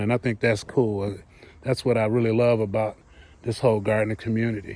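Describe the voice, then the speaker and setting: A man with an American accent and a normal speaking voice talks at a medium pitch with fairly even intonation. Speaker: gardening vlogger. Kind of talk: casual walk-around vlog. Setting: outdoors in garden and greenhouse. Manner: relaxed, with fillers and repeats.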